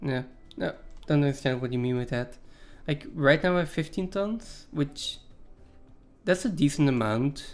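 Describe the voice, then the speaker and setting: In a very clean recording with a silent background, a man with a non-native accent talks at a moderate pace and a fairly high pitch, using ordinary pitch variation and long, frequent pauses. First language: not English. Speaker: video game streamer. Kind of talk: live gameplay commentary. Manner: casual, hesitant with fillers.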